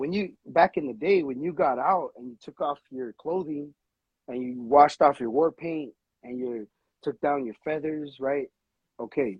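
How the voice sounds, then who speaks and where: A man talks at a moderate pace in a fairly high pitch with ordinary pitch variation. His loudness swings widely. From Los Angeles. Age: 30s. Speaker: tattoo artist. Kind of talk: casual chat.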